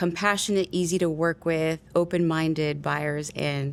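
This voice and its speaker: A woman with a Spanish accent speaks in a fairly low pitch with fairly even intonation. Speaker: real estate agent. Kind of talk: casual interview chat.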